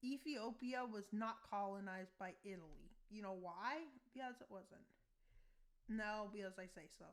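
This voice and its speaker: A woman mumbles at a moderate pace in a fairly high voice with ordinary pitch variation. Her loudness swings widely. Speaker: YouTuber narrating a map war scenario. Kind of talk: casual commentary over map gameplay. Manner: mumbling in other videos, now speaking up.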